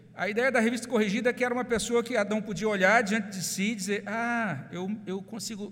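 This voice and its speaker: With a Brazilian accent, a man talks at a fairly quick pace amid audible room echo. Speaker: pastor. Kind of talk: sermon.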